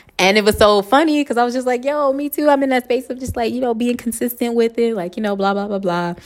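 Speech comes at a very fast pace in an American accent. The tone is animated. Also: woman, high pitch for a woman, ordinary pitch variation, hardly any pauses. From Los Angeles, US. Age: 30s. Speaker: podcast host. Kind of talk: casual monologue.

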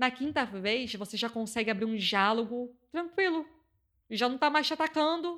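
A woman speaks in a Carioca accent, her pitch high. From Rio de Janeiro, Complexo da Maré favela. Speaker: community communicator and activist. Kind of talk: interview.

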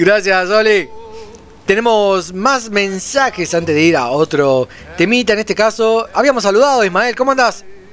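Over noticeable background noise, a man with a high pitch talks at a moderate pace with lively intonation and very even loudness. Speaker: radio host. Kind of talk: casual chat.

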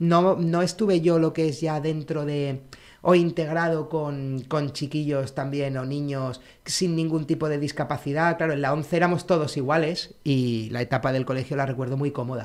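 A man with a plain, everyday voice and fairly high pitch speaks at a moderate pace with fairly even intonation on a very clean recording with a silent background. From Canary Islands (Tenerife). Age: 40s. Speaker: blind co-founder of a sneaker brand. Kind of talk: interview, casual chat.

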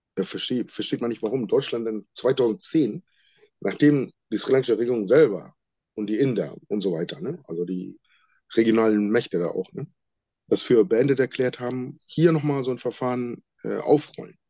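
With lively intonation and a dark, mellow tone, a man speaks at medium pitch and a moderate pace. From Sri Lanka. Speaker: former political prisoner. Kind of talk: interview testimony. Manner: halting.

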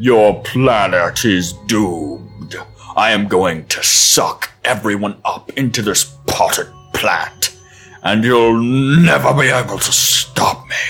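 A booming put-on character voice at a fairly slow pace, with faint music in the background. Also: man, fairly low pitch for a man. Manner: menacing, arrogant.

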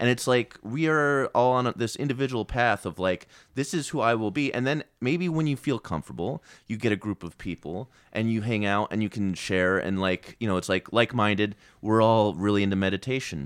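A man speaks with a fairly low pitch and lively intonation at a fairly quick pace. The sound is dry and close with no echo, and his is an unremarkable speaking voice. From Virginia. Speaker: comedian and improviser. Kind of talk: casual chat.

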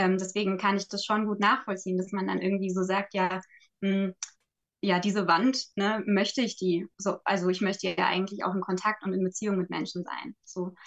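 Flat, monotone speech from a woman at a medium pitch and moderate pace. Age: 20s. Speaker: social worker and resilience trainer. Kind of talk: casual chat. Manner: halting, frequent fillers.

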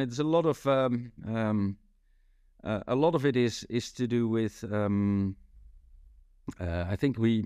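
The voice carries a dark, mellow tone and a Dutch accent. The recording is very clean, with a silent background. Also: man. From Netherlands, Rotterdam. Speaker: sales consultant. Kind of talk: interview.

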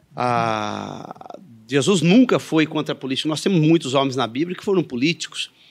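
Loudness swings widely while the speaker keeps a moderate pace. The intonation is lively, with a Minas Gerais accent. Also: man, fairly high pitch for a man. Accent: Minas Gerais (mineiro). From Andradas, Minas Gerais, Brazil. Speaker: evangelical pastor. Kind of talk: interview. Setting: studio in coworking space.

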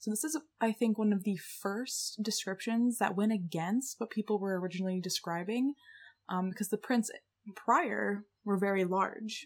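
A somewhat breathy woman's voice at medium pitch, with ordinary pitch variation and a moderate pace. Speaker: podcast co-host. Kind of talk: casual chat presenting research. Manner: casual, filler-heavy. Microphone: new desktop USB mic.

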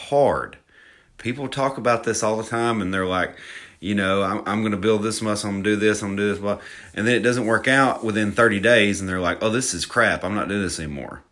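Talking at a fairly quick pace with a Southern US accent, a man has a fairly low-pitched voice. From Alabama. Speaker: fitness podcaster. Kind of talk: solo podcast monologue. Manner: casual, self-deprecating, chatty.

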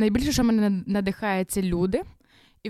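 Dry, close and very clean, the recording has a silent background and no echo. A woman speaks fairly quickly in a dark, mellow, medium-pitched voice with ordinary pitch variation. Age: 20s. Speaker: youth ministry leader and runner. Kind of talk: casual interview.

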